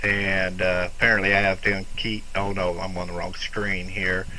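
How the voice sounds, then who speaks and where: A man speaks at a fairly slow pace with fairly even intonation. Noticeable background noise and audible room echo are present. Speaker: ham radio operator. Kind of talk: casual chat. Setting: amateur radio contact. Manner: soft-spoken.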